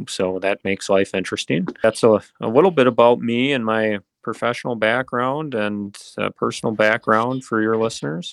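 In an Upper Midwest accent, a man speaks at a medium pitch for a man, the sound dry and close with no echo against a quiet background. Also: ordinary pitch variation, moderate pace. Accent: Upper Midwest American. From central Wisconsin (Mosinee). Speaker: politician. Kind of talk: interview.

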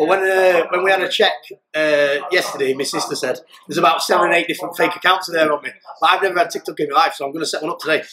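Talking at a very fast pace in a South Yorkshire accent, a high-pitched man keeps a fairly even intonation. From South Yorkshire, England (pit village near Doncaster). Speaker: ex-prisoner turned fighter. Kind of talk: interview.

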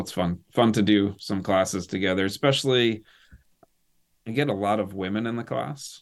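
A plain, everyday voice belongs to this man, who has a fairly low pitch and ordinary pitch variation in a very clean recording with a silent background. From US Northeast (northern Maine). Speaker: military veteran and helicopter pilot. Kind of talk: casual interview chat.

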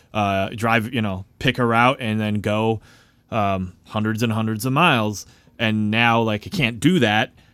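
A man with an American accent and an ordinary speaking voice, medium in pitch with ordinary pitch variation, in a very clean recording with a silent background. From Chicago, US Midwest. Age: 30s. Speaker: singer-songwriter. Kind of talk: casual chat.

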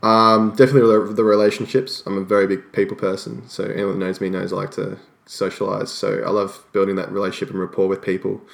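A man with an Australian accent talks at a very fast pace with hardly any pauses, in a fairly low, monotone, flat voice. The recording is very clean, with a silent background. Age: 20s. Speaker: personal trainer. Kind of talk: interview.

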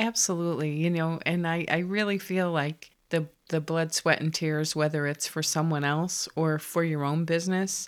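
A woman's very deep, low voice in an American accent, fairly even in intonation and moderate in pace, on a very clean recording with a silent background. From Connecticut. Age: 50s. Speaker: interior designer. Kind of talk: casual interview.

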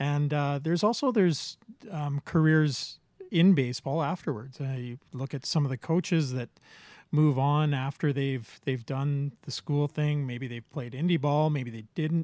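In a very clean recording with a silent background and a dry, close sound with no echo, a man with an Albertan accent speaks at a fairly slow pace, his fairly high pitch showing ordinary variation. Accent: Canadian (Alberta). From Medicine Hat, Alberta, Canada. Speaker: podcast co-host. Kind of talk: casual chat. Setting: home basement.

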